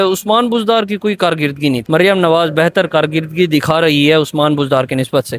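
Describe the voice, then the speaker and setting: Recorded with a dry, close sound and no echo, this is a normal speaking voice with ordinary pitch variation. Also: man, fairly high pitch for a man. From Dera Ghazi Khan, Pakistan. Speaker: student. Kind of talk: street interview answer.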